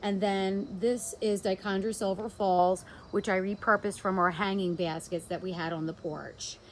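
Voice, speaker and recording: The speaker is a woman with a New Jersey accent. Her pitch sits in the medium range. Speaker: home gardener. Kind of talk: casual garden walkthrough to camera.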